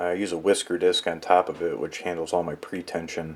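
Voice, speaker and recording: Over noticeable background noise, a man talks at a fairly quick pace in a very deep, low pitch. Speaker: guitar pickup maker. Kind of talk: tutorial. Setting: workshop. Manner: monotone.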